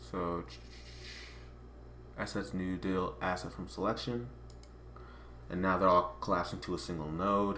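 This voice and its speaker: Amid audible room echo, a man with a very deep, low pitch and a bright, sharp tone speaks with lively intonation and long, frequent pauses. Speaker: software tutorial creator. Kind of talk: tutorial. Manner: fast.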